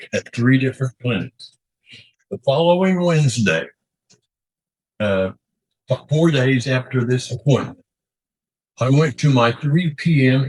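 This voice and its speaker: Somewhat breathy and lively in intonation, a man speaks at a fairly slow pace with long, frequent pauses, the sound dry and close with no echo. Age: 80s+. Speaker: court respondent. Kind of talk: court testimony.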